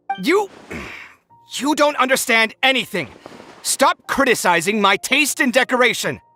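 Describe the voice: A put-on character voice with a bright, sharp tone moves at a fairly slow pace. Its intonation is lively, with faint music in the background. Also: man, extremely high pitch for a man.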